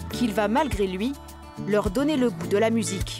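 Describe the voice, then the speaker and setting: With music in the background, a woman keeps to a moderate pace. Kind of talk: documentary narration.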